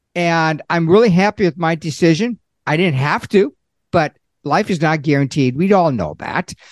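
An unremarkable speaking voice from a man at a moderate pace, lively in intonation, dry and close with no echo against a quiet background. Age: 60s. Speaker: Social Security consultant, accountant. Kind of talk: interview.

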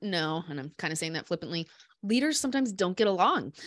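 Recorded very cleanly against a silent background, a woman talks in a Midwestern US accent. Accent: US Midwest. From Iowa, Des Moines. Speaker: business founder and CEO. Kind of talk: casual interview.

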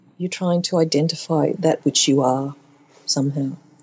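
Speaking with an Australian accent, a woman has a very deep, low pitch and ordinary pitch variation. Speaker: contemporary artist. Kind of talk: interview.

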